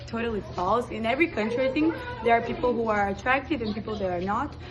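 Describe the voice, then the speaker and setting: Music in the background under a woman's fairly high voice in a Portuguese accent, fairly quick, with ordinary pitch variation. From Brazil. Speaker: exchange student. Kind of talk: casual interview.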